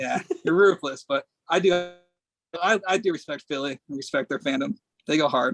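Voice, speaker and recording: A fairly high male voice at a moderate pace, with ordinary pitch variation, long and frequent pauses, and a dry, close sound with no echo. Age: 20s. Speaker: sports handicapper. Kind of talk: casual chat. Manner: animated.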